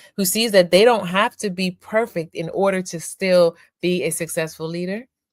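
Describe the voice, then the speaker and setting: In a very clean recording with a silent background, a woman with a normal speaking voice talks at a fairly slow pace, her medium pitch showing ordinary variation. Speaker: podcast host. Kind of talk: podcast interview.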